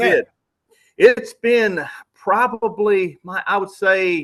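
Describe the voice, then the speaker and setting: A man with a Southern US accent, high-pitched with ordinary pitch variation, at a very slow pace. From Louisiana. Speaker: outdoorsman, hunting TV personality. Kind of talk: podcast interview answer. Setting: remote call. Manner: casual, folksy, enthusiastic.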